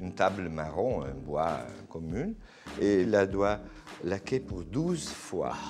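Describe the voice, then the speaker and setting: With an Italian accent, a man of very deep pitch speaks very slowly with lively intonation and long, frequent pauses. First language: Italian (speaking French). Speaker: interior decorator. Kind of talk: interview. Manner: halting.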